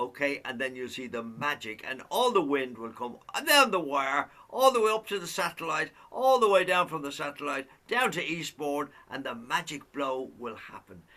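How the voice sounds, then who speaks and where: With an Irish accent, a man talks at a moderate pace with a fairly high pitch, lively intonation and big swings in loudness. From Ireland. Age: 80s+. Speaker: singer and show host. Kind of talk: casual chat. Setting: video call.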